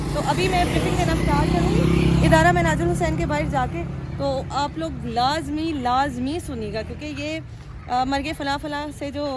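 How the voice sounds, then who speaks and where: A woman with a fairly high pitch and very wide pitch swings talks at a fairly slow pace, with audible room echo and noticeable background noise. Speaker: vlogger. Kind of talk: casual vlog narration.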